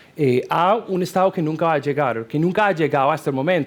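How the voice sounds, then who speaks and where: The man's pace is moderate. His pitch rises and falls in an ordinary way. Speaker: security researcher on expert panel. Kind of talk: panel discussion. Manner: halting, many fillers.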